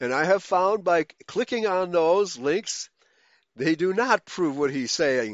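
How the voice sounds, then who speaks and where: Talking at a very slow pace, a man uses a high pitch with lively intonation. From Germany, raised in the US from age four. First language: German. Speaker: pastor and internet radio host. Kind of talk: bible study lecture. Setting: online voice chat room broadcast.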